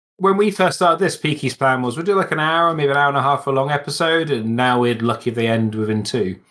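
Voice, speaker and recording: With hardly any pauses, a man races along at a very fast pace, his fairly high, bright, sharp voice full of lively intonation on a very clean recording with a silent background. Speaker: podcast co-host. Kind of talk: casual chat about tabletop wargaming.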